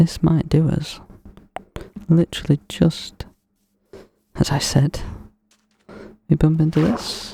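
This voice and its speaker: This soft-spoken voice moves at a very slow pace with a calm tone, broken by long, frequent pauses. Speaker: ASMR gaming creator. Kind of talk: relaxed gameplay commentary. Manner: soft-spoken, calm.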